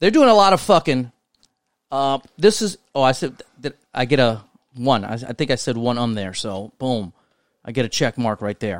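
At a moderate pace, a man talks at medium pitch. His intonation is lively, and the sound is dry and close with no echo. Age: 30s. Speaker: podcast co-host. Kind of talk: casual chat.

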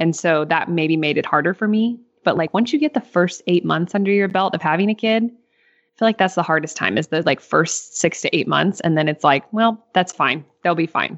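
In a plain, everyday voice, a woman with an American accent speaks at a moderate pace, fairly low in pitch, with ordinary pitch variation and very even loudness. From Northeast Missouri. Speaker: farmer and podcast co-host. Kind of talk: casual interview.

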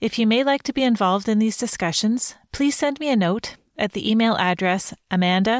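A woman with a plain, everyday voice speaks at a moderate pace with lively intonation, in a dry, close sound with no echo. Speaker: podcast host and interviewer. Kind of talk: scripted intro and interview.

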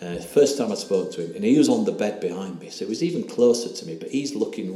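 With an English accent, a man talks at a very fast pace over noticeable background noise. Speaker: ayahuasca retreat participant telling his story. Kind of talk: personal testimony, interview.

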